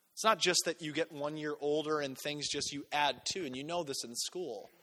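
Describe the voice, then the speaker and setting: Animated and bright, a man's sharp-toned voice moves at a moderate pace with ordinary pitch variation. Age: 20s. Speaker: pastor. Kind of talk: sermon.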